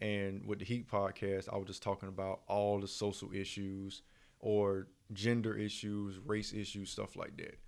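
A man talks at a moderate pace in a monotone, flat way. His pitch is fairly low for a man. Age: 30s. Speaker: podcast host. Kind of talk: casual chat.

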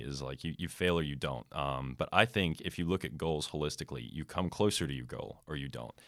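A man with a very deep, low voice and an American accent speaks at a very fast pace with vocal fry and ordinary pitch variation. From United States. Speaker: student podcast host. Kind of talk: casual chat.

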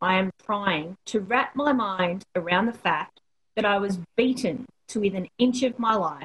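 Against a quiet background, the clip is plain reading aloud with ordinary pitch variation.

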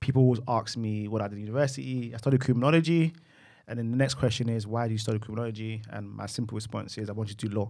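In a South London accent, a man talks at a very fast pace. His pitch is medium, and the recording is very clean with a silent background. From London, Peckham. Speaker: IT client relationship manager. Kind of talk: casual chat. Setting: studio.

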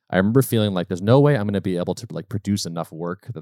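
On a very clean, dry and close recording with no echo and a silent background, a man with an American accent talks at a very fast pace with lively intonation. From Massachusetts, US Northeast. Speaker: software company co-founder. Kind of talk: casual interview chat.

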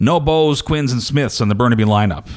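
A man in a normal speaking voice, at a fairly quick pace with ordinary pitch variation. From New Brunswick, Canada. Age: 40s. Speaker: podcast host. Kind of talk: casual chat.

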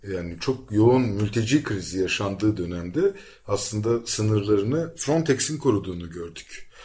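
A man with a dark, mellow tone and a fairly low pitch speaks at a moderate pace, somewhat breathy, with lively intonation. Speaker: radio show host. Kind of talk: radio interview.

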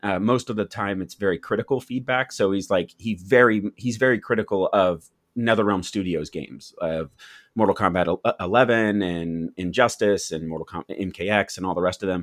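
At a fairly quick pace, a man with a fairly low pitch and ordinary pitch variation talks in an unremarkable speaking voice. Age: 30s. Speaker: YouTube content creator. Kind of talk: casual chat.

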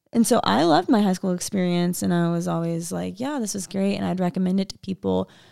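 An ordinary speaking voice with an American accent moves at a fairly quick pace. The recording is very clean with a silent background. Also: woman. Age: 20s. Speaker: church ministry worker. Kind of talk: casual chat.

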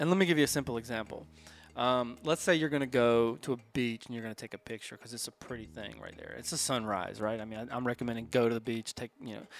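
A man speaks at a very fast pace and medium pitch. His pitch variation is ordinary, while his loudness swings widely. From US South, Atlanta, Georgia. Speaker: photographer, photography business co-owner. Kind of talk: casual podcast interview. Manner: animated, storytelling with hesitations.

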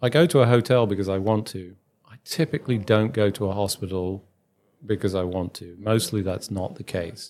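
On a very clean recording with a silent background, a man with a British accent speaks at a moderate pace in a fairly low pitch, with ordinary pitch variation and big swings in loudness. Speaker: podcast host, physician consultant. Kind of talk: interview.

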